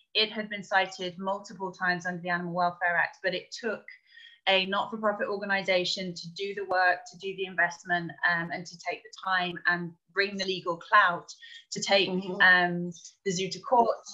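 A woman speaks at medium pitch with a bright, sharp tone and monotone, flat intonation. Her pace is moderate, her loudness swings widely, and the background is quiet. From England. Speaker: primate sanctuary director. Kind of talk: interview. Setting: video call. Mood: animated, smiling. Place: home room. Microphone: video call.

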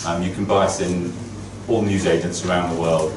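Fairly even intonation from a man with a fairly low pitch, over noticeable background noise. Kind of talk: keynote talk. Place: office. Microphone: camera far.

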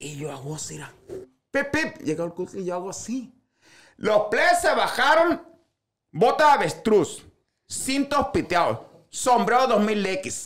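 An animated voice with a Sinaloan accent speaks at a fairly slow pace with long, frequent pauses. Pitch swings very widely and loudness shifts a lot. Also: man, high pitch for a man. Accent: Sinaloan Mexican Spanish. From Sinaloa, Mexico. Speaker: social media comedian. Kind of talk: casual chat. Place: studio. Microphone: studio mic.

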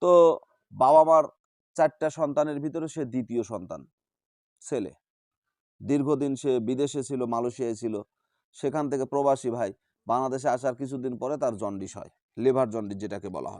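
A man talks at medium pitch with ordinary pitch variation and big swings in loudness. The background is quiet. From Bangladesh, Bogura. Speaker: folk healer. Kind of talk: testimony; tutorial.

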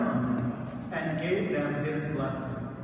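Strong room echo and noticeable background noise surround the voice. The delivery is very slow, with ordinary pitch variation. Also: man. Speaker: priest. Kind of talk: scripture reading then sermon. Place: church. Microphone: camera far.

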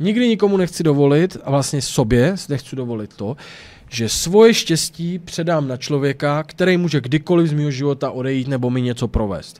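Speaking at a moderate pace, a man sounds animated, his fairly high voice rising and falling with lively intonation. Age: 30s. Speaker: YouTuber; streamer. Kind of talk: casual vlog monologue. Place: home room. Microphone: studio mic.

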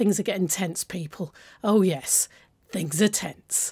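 On a very clean recording with a silent background, a woman with a British accent speaks at a fairly slow pace in a dark, mellow tone. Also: dry, close sound with no echo. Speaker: gaming YouTuber. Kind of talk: let's play commentary. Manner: animated.

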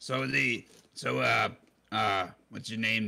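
Speaking at a fairly slow pace, a man with a fairly low pitch has vocal fry and a bright, sharp tone.

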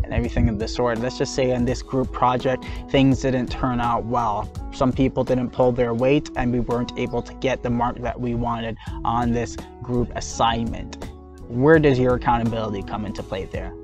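A man talks at a moderate pace with a dry sound and no echo. Clear music plays in the background. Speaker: mindfulness channel host. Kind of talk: motivational talk. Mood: firm, challenging. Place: open country. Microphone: lapel.

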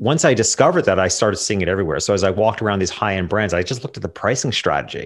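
Speaking at a very fast pace with hardly any pauses, a man uses lively intonation. His pitch is fairly low, and the background is quiet. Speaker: portrait photographer and business coach; business coach. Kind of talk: interview conversation. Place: home room. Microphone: studio mic.

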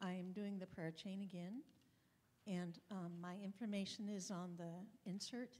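A soft-spoken woman talks at a moderate pace. Her pitch is medium and her intonation fairly even. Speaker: church member making announcements. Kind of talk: church announcement. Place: church. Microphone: handheld.

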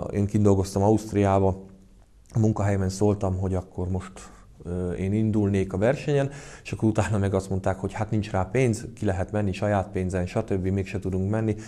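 At a moderate pace, a man speaks in a monotone, flat intonation with a dark, mellow tone and a fairly low pitch. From Hungary. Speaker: karate club president and coach. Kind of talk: casual interview. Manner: halting, hesitant with repetitions. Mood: calm, reflective. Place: gym.

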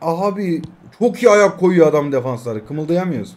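A man speaks in a fairly high pitch with ordinary pitch variation. His pace is moderate. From Turkey. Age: 20s. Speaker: mobile gaming YouTuber; mobile game streamer. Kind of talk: gameplay live commentary. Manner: animated. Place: home room.

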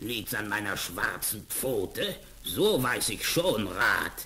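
A man's put-on character voice, growling and menacing, at a very slow pace over light background noise. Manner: growling, menacing.

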